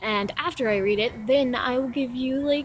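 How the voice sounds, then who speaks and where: This woman's voice shows ordinary pitch variation. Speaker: vlogger and amateur writer. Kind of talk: casual vlog intro then reading own poem aloud. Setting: outdoors. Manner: halting, many ums.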